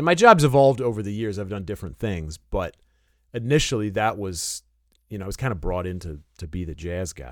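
Recorded very cleanly against a silent background, a man with an American accent and a plain, everyday voice talks at a fairly quick pace in a fairly low pitch, with lively intonation and big swings in loudness. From Detroit area. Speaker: saxophonist and music teacher. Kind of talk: interview.

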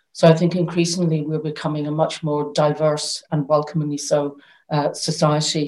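In a Northern Irish accent, a woman speaks with a very deep, low pitch, a dark, mellow tone and monotone, flat intonation. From Northern Ireland. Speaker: arts council chief executive. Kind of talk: panel discussion. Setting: video call.

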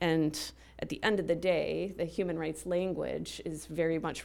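In a very clean recording with a silent background, a woman talks at a moderate pace. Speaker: religion and peace scholar. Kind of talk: panel discussion. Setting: stage with audience.

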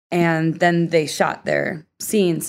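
A woman speaks at a very slow pace with a fairly low pitch, recorded very cleanly against a silent background. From US Northeast, Philadelphia. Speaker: professional skater and stunt double. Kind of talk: casual interview.

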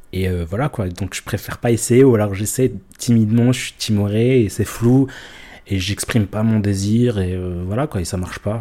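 At a moderate pace, the speaker's dark, mellow tone moves with ordinary pitch variation. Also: man, fairly low pitch for a man. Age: 30s. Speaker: interviewee sharing personal story. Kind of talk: confessional interview. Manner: hesitant, many fillers and repetitions.

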